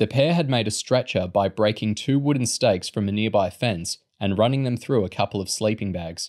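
Heard against a quiet background, a natural reading voice moves with ordinary pitch variation.

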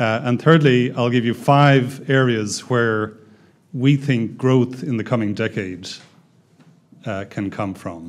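At a very slow pace, a man speaks with ordinary pitch variation. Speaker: development bank economist. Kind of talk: seminar presentation. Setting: stage with audience. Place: meeting room. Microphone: podium.

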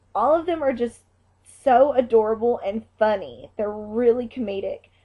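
The woman's pitch rises and falls in an ordinary way, with a quiet background behind her. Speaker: fan fiction reviewer. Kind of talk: casual vlog chat. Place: home room. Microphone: webcam.

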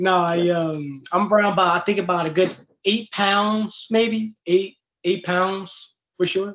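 Spoken with an American accent at a very slow pace, the voice keeps a very even loudness and a fairly even intonation. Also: man, high pitch for a man. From Chicago. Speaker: MMA fighter; interview guest. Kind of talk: casual interview. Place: home room. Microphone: video call.

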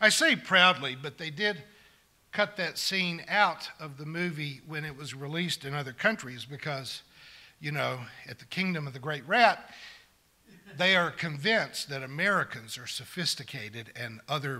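Here a man speaks at a moderate pace. His bright, sharp tone comes with big swings in loudness. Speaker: preacher. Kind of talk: sermon. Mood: wry, sarcastic, occasional laughs. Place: church. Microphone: podium.

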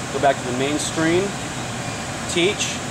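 Noticeable background noise surrounds a man speaking at a moderate pace with ordinary pitch variation. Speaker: machine demonstrator. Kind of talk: tutorial. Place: factory.

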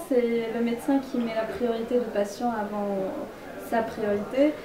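The speech moves at a fairly slow pace with fairly even intonation against noticeable background noise. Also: woman. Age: 20s. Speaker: medical student giving a talk; interviewee. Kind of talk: public presentation and interview. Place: home room. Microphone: camera far.

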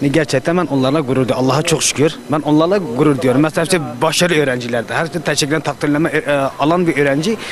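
Talking at a very fast pace, a man with a fairly high pitch and ordinary pitch variation keeps very even loudness, his voice sounding dry with no echo against noticeable background noise. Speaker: passerby. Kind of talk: street interview. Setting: outdoors. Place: street. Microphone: handheld.

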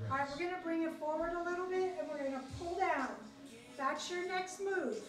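Amid noticeable background noise and audible room echo, a woman with an extremely high pitch talks at a moderate pace with ordinary pitch variation. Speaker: fitness instructor. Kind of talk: workout instruction. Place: gym. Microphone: camera far.

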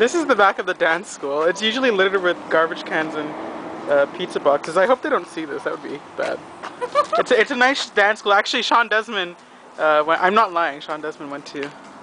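Noticeable background noise sits behind a dry recording with no echo. A woman speaks at a fairly quick pace. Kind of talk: casual vlog chat. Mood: playful, joking. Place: street. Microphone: phone near.

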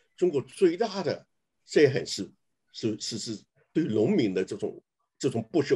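Pitch swings very widely in this man's speech. Behind him, things stay quiet. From China. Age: 80s+. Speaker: writer. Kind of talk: casual talk. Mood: earnest, opinionated. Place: home room. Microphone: video call.

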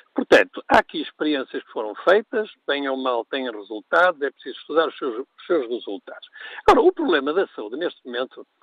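Recorded dry with no echo against a quiet background, a man talks at a fairly quick pace with big swings in loudness. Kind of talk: radio call-in commentary.

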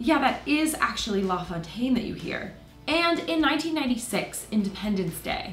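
A woman speaks at a moderate pace in a fairly high voice with very wide pitch swings, with audible room echo and faint music in the background. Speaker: video host. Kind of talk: documentary explainer narration. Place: home room.

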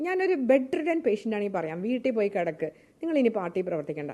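With a dark, mellow tone, the voice moves through very wide pitch swings. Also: woman. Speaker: politician. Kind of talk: press statement / interview. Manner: animated.

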